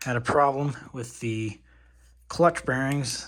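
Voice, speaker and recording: On a very clean recording with a silent background, a man talks fairly slowly at a medium pitch, somewhat breathy, with fairly even intonation. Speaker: RC hobbyist youtuber. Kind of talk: repair tutorial. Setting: dorm room. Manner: soft-spoken; casual.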